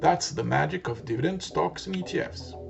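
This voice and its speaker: With a non-native accent, the talking proceeds at a moderate pace. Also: man. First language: not English. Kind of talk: educational finance narration.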